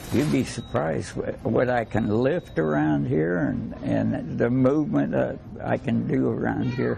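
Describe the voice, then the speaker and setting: Very deep, low pitch from a man, with very wide pitch swings, very even loudness and a fairly slow pace against noticeable background noise. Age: 80s+. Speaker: McDonald's crew member. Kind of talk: interview answer. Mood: cheerful, proud. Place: shop.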